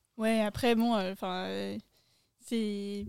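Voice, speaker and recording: Here a woman uses a normal speaking voice at a medium pitch. She speaks at a fairly slow pace. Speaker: podcast guest. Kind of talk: casual chat. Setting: outdoors, garden table.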